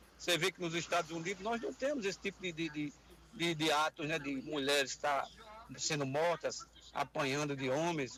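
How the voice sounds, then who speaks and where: A man with a plain, everyday voice speaks at a moderate pace and a fairly high pitch. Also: ordinary pitch variation. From Paraíba, Brazil (João Pessoa). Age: 60s. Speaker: radio caller, former police officer. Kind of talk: call-in comment.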